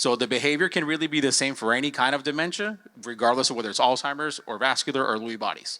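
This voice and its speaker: Very fast speech from a man with a Spanish accent, medium pitch, ordinary pitch variation and a bright, sharp tone. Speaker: healthcare panelist. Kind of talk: conference panel talk.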